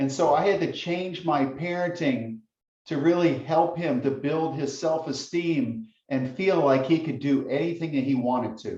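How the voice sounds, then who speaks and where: Speaking very slowly, a man uses a fairly high pitch with a dark, mellow, intense tone and a somewhat breathy quality. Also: ordinary pitch variation. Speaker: guest speaker on parenting. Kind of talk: lecture.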